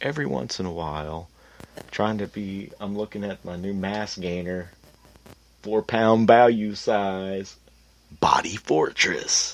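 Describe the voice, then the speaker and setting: Big swings in loudness, a fairly slow pace, ordinary pitch variation and long, frequent pauses. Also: man, fairly low pitch for a man. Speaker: podcast host. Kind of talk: casual monologue. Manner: animated.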